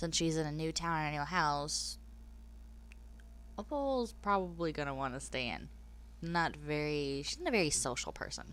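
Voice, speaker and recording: A woman at a moderate pace, with long, frequent pauses and audible room echo. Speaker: gaming YouTuber. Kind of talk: gameplay voice-over narration. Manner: casual, conversational.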